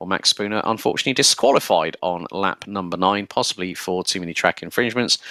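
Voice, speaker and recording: This man talks at a fairly quick pace with a fairly low pitch and a bright, sharp tone. The very clean recording has a silent background and a dry, close sound with no echo. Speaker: sim racing commentator. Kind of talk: live commentary.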